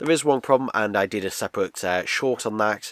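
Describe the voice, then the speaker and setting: A man with a British accent, recorded with a dry, close sound with no echo. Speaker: video reviewer. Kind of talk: casual product review. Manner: casual, lots of fillers.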